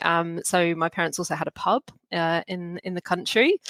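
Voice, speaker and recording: A woman with a British accent. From Hong Kong, British family. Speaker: recruitment professional. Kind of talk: podcast interview. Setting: podcast recording.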